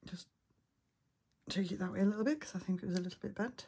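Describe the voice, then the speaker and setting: A woman with an English accent talks at a fairly quick pace in a somewhat breathy, dark, mellow voice of medium pitch. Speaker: miniatures hobbyist. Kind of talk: tutorial.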